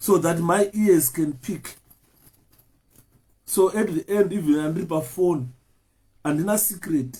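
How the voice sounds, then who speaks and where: A loud man's voice at a high pitch, with lively intonation and a fairly slow pace. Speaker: political activist. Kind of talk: live stream talk.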